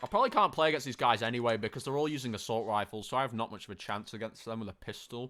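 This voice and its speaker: Very fast and with hardly any pauses, a man with a medium pitch and a bright, sharp tone speaks with ordinary pitch variation on a very clean recording with a silent background. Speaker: gaming streamer. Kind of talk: live gameplay commentary. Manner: loud; animated.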